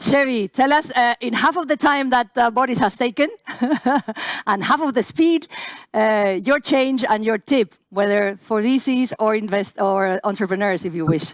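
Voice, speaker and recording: On a very clean recording with a silent background, a woman talks at a moderate pace in a plain, everyday voice, the sound dry and close with no echo. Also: fairly high pitch for a woman, lively intonation. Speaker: panel moderator. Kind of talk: panel discussion.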